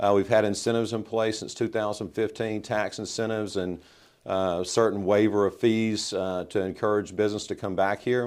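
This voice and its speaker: A man speaks with a Mississippi accent in a fairly low pitch and monotone, flat intonation. The recording is very clean, with a silent background. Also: moderate pace. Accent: Mississippi Southern US. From US South, Mississippi (Southaven). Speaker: mayor. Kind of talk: interview.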